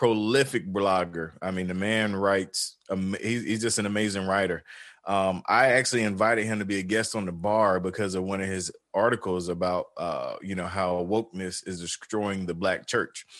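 A fairly low male voice with a Southern US accent over a quiet background. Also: fairly even intonation, moderate pace. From US South, rural North Carolina. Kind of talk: casual interview. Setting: video call.

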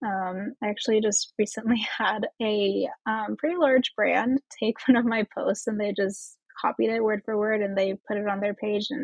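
A woman in a Midwestern US accent, fairly high-pitched, at a moderate pace with fairly even intonation. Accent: US Midwest. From Indiana, US Midwest. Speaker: esthetician and marketing coach. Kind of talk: casual interview chat.

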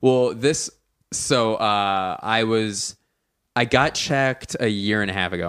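A man with a medium pitch and ordinary pitch variation speaks at a fairly slow pace on a very clean recording with a silent background. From US Northeast (Philadelphia). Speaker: stand-up comedian. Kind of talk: casual chat. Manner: voice rises higher when uncomfortable.

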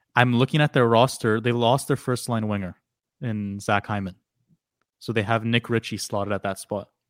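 A man speaks at a medium pitch, leaving long, frequent pauses. The sound is dry and close, with no echo. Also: very clean recording, silent background. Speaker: hockey podcast co-host. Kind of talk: casual chat. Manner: monotone when reading aloud.

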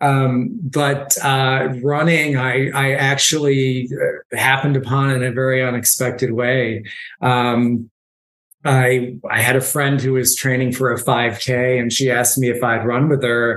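A man's monotone, flat voice at a very even loudness, with audible room echo. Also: medium pitch for a man, fairly slow pace. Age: 50s. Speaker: nonprofit executive and marathon runner. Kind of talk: interview about personal story.

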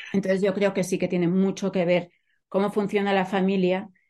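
A woman's voice at a medium pitch. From Catalonia, Spain. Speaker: literature professor and author. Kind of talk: interview.

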